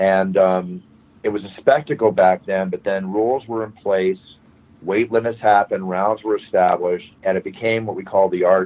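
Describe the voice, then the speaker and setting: In an ordinary speaking voice, a man talks at a moderate pace with a fairly low pitch and an American accent. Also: fairly even intonation. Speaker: fight announcer. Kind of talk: interview answer.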